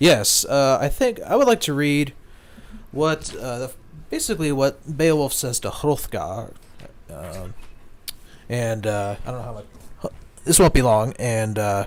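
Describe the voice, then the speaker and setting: Quiet overall yet with big swings in loudness, a man's medium-pitched voice moves at a fairly slow pace, broken by long, frequent pauses. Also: lively intonation. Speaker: Tolkien society member. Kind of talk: casual chat.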